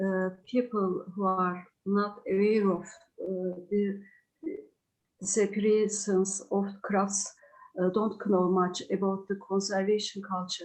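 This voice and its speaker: A woman speaks very slowly in a Turkish accent at a medium pitch. Her intonation is monotone and flat. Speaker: craft writer. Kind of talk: presentation. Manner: halting.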